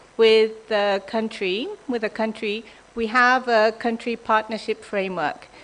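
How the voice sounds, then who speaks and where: Woman at a fairly slow pace with ordinary pitch variation and noticeable background noise. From Japan. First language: Japanese. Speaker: development bank official. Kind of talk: conference presentation. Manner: hesitant, many ums.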